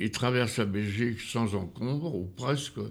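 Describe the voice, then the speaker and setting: A man is speaking. His pitch is medium. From France, Normandy countryside. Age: 90s. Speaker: retired farmer. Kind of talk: life-story interview. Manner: halting.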